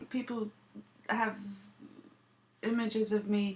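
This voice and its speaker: A woman is speaking. She has an English accent. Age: 30s. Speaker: vlogger. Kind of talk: casual vlog monologue.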